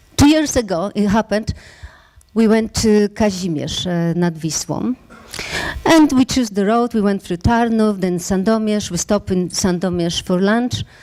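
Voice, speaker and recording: A woman's voice at a medium pitch, in a Polish accent, at a moderate pace with ordinary pitch variation and noticeable background noise. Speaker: startup founder. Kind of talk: pitch talk. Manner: halting.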